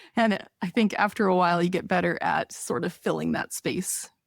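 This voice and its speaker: Vocal fry marks this woman's voice, heard in a dry, close sound with no echo. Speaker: podcast co-host and crafting YouTuber. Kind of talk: casual interview. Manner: fast.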